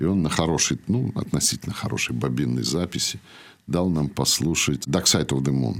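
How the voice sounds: In a theatrical tone, a man with extremely low pitch speaks at a fairly quick pace with ordinary pitch variation.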